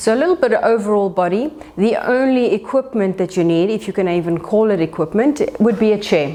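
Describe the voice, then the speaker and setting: Speaking with a South African accent, a woman uses a calm tone and medium pitch with lively intonation. Noticeable background noise is audible. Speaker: pilates instructor. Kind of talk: exercise class instruction. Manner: calm and encouraging.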